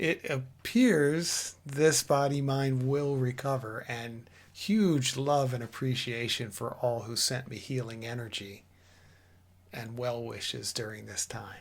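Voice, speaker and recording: Spoken at a very slow pace with ordinary pitch variation, the recording is very clean with a silent background. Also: man, medium pitch for a man. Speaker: spiritual teacher. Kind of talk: spiritual talk.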